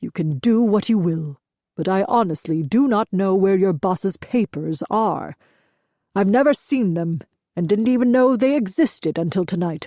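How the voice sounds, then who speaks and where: A woman performs a put-on character voice at a medium pitch with lively intonation and a moderate pace. The sound is dry and close, with no echo. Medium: read story. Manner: measured, steady.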